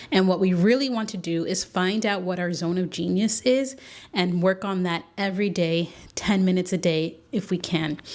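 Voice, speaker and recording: In a very clean recording with a silent background, a woman with an ordinary speaking voice talks at medium pitch and a moderate pace, her pitch varying in an ordinary way. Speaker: podcast host. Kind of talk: solo podcast monologue. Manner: casual, conversational.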